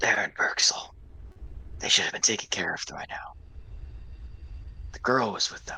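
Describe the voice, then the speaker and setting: A put-on character voice whispers at a moderate pace, broken by long, frequent pauses. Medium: actual play.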